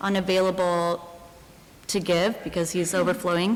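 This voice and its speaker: Music plays in the background as a soft-spoken woman talks with fairly even intonation. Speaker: resident speaking at public comment. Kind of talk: public comment at town meeting. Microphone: too quiet, hard to hear.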